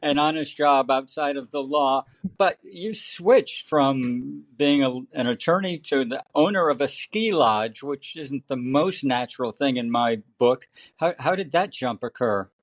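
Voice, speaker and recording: This man has an ordinary speaking voice with a fairly high pitch and ordinary pitch variation, talking at a fairly slow pace in a dry, close sound with no echo. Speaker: podcast host. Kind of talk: podcast interview.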